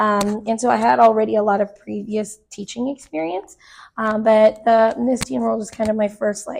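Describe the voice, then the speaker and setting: Speaking at a moderate pace with ordinary pitch variation, a woman with a fairly high pitch and an American accent has an unremarkable speaking voice. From Arizona, Phoenix area. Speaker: choreographer and dance teacher. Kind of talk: casual interview chat.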